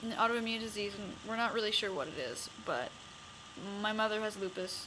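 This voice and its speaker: Noticeable background noise runs under the speech. The room adds an audible echo. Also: woman. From Canada, Winnipeg. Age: 20s. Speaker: vlogger. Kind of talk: personal vlog. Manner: halting.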